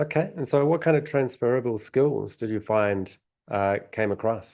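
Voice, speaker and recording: A man with a New Zealand accent, ordinary pitch variation and a quiet background. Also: medium pitch for a man, moderate pace. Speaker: podcast host, past life regression therapist. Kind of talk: interview. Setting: podcast.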